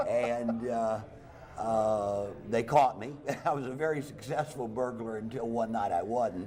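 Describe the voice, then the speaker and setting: Audible room echo surrounds a voice with a dark, mellow tone. It moves at a fairly slow pace with ordinary pitch variation. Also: man, medium pitch for a man. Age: 60s. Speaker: stand-up comedian. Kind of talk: talk show interview.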